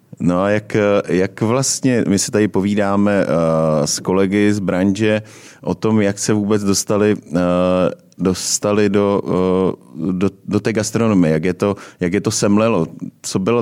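A man's dark, mellow voice, fairly low in pitch, with very even loudness and fairly even intonation at a fairly slow pace. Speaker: podcast host. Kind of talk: casual interview chat. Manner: hesitant, many fillers.

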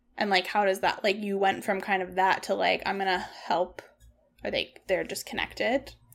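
A woman speaks at a moderate pace and a medium pitch. Her intonation is fairly even, with vocal fry. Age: 30s. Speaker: podcast host. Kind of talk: casual chat. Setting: home by a wood stove.

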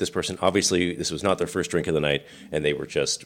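A man talks in a very deep, low pitch with vocal fry. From US Pacific Northwest, rural island near Seattle. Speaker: podcast co-host, navy veteran. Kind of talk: casual chat.

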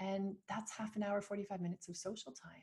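A woman with a Canadian accent talks at a moderate pace, her dark, mellow voice somewhat breathy. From Canada. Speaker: founder of a motherhood community. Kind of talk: interview.

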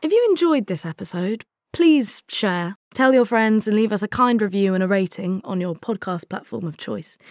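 A woman speaks in an unremarkable speaking voice at a medium pitch, with lively intonation. The recording is very clean, with a silent background. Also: moderate pace, dry, close sound with no echo. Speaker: podcast cast member. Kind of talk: scripted intro and outro.

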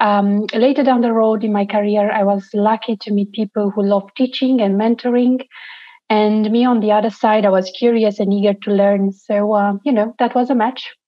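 Delivered at a moderate pace, the speech comes in a Romanian accent with monotone, flat intonation. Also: woman. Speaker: NGO founder. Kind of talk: interview.

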